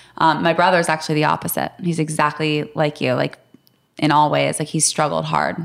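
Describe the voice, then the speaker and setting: On a very clean recording with a silent background, a woman with a very deep, low pitch and vocal fry speaks at a fairly quick pace with fairly even intonation and very even loudness. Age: 30s. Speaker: podcast co-host. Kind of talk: podcast interview.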